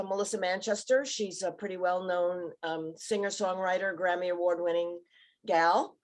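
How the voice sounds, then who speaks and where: A woman with an unremarkable speaking voice, medium pitch, fairly even intonation and an American accent, at a moderate pace against a quiet background. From New York City (Bronx). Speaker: TV producer. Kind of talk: panel discussion. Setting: video call from home.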